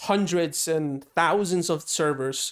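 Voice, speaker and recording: On a very clean recording with a silent background, a man talks with ordinary pitch variation. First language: Spanish. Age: 20s. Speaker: programming streamer. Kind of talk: live coding stream, casual chat with viewers. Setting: live stream, wearing headphones. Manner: casual, hesitant.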